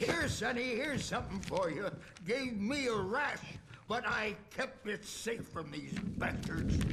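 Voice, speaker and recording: A put-on character voice speaks fairly slowly over clear background noise. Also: man, high pitch for a man. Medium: game stream. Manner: cackling, wild.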